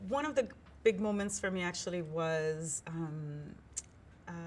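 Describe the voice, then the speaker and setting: Somewhat breathy, a woman with a Puerto Rican accent talks at a fairly slow pace. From Puerto Rican background. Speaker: foundation executive director. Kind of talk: conversational panel discussion.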